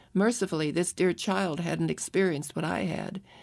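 A woman speaks in a normal speaking voice at medium pitch and a moderate pace, with ordinary pitch variation. The recording is very clean, with a silent background. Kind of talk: audiobook narration of a memoir, first-person. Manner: somber and reflective, with emotion at the sadder moments.

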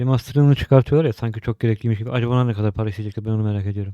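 This man has a medium pitch and a dark, mellow tone with fairly even intonation, recorded dry and close with no echo. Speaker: gaming YouTuber. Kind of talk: casual game sale review.

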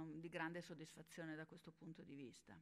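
With a quiet background, a woman speaks in a fairly low pitch. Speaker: health journalist and science communicator. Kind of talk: panel discussion. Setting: stage with audience. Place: hall. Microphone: podium.

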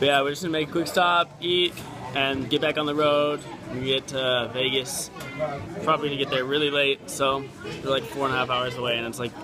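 With clear music in the background, a man speaks at a fairly quick pace with fairly even intonation. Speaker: vlogger on team road trip. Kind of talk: casual vlog chat. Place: cafe. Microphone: phone near.

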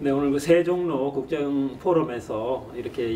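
Light background noise sits under a man with a fairly high pitch and ordinary pitch variation. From South Korea. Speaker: former vice minister, professor. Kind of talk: interview. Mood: polite, formal greeting. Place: office.

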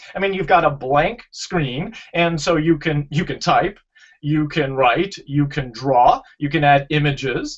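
This man has a fairly high pitch and ordinary pitch variation, speaking at a fairly slow pace. It is a normal speaking voice. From Canada. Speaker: educational technology speaker and instructor. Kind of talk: presentation with slides in a video interview.

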